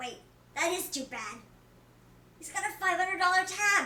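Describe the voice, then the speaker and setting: An extremely high-pitched put-on character voice from a woman, delivered at a moderate pace. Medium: role play.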